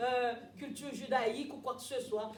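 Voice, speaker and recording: Audible room echo carries a woman's voice as she speaks at a fairly slow pace. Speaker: preacher. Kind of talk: sermon.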